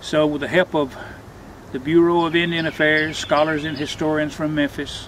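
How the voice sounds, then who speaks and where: A man talks in monotone, flat intonation at a fairly high pitch. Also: moderate pace. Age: 70s. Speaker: stone wall builder and storyteller. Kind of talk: storytelling interview on a tour. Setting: outdoors.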